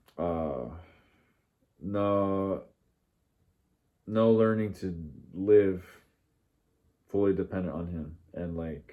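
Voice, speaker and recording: A man with an American accent speaks at a very slow pace in a very deep, low, dark and mellow tone, with ordinary pitch variation, big swings in loudness, and long, frequent pauses. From US, Mexican family. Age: 30s. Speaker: religious vlogger. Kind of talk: personal monologue. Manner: halting, many fillers.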